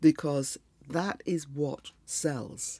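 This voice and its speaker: A woman with a dark, mellow tone, recorded very cleanly against a silent background. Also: dry, close sound with no echo. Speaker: copywriter. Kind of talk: solo podcast monologue. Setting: live broadcast. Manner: hesitant, many fillers.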